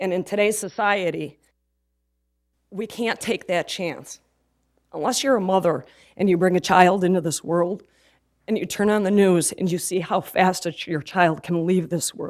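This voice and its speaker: The voice is shaky, with ordinary pitch variation and a moderate pace. Long, frequent pauses break it up on a very clean recording with a silent background. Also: woman, medium pitch for a woman. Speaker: resident speaking at public comment. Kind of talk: public comment at city council meeting.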